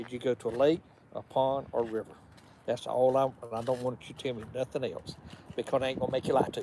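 Delivered at a very fast pace in a Georgia accent, the dark, mellow voice stays monotone and flat, recorded dry with no echo over light background noise. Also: man. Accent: Georgia Southern. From US South. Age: 70s. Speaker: boat owner; live streamer. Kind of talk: casual chat. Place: street. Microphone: phone near.

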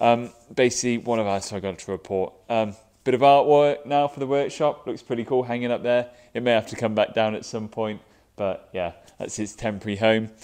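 Over a quiet background, a man talks at a fairly quick pace with ordinary pitch variation. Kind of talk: casual vlog chat. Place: workshop.

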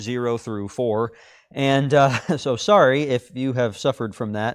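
A man talks at a moderate speed, his pitch varying in an ordinary way, with a quiet background behind him. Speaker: class teacher. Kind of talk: announcements before a Bible class lesson. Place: classroom.

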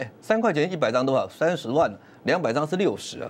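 The pitch of this man's voice swings very widely. He keeps to a moderate pace. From Taiwan. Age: 50s. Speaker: stock market commentator. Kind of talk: sales pitch. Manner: animated. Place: studio. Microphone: lapel.

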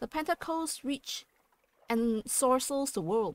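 A woman speaks at a very slow pace with lively intonation, in a non-native accent. The recording is very clean with a silent background and a dry, close sound with no echo. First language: not English. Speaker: gaming let's play creator. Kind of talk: reading game text aloud.

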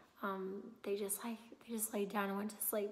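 Over noticeable background noise and audible room echo, a woman speaks at a moderate pace in a medium pitch with monotone, flat intonation. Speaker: mom vlogger. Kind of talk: casual vlog. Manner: casual, hesitant with many fillers.

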